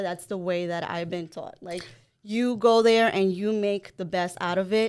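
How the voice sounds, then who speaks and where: In a Spanish accent, a woman speaks at a medium pitch and a moderate pace. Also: very clean recording, silent background. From El Salvador, then Long Island, New York. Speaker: mortgage broker, podcast co-host. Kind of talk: interview.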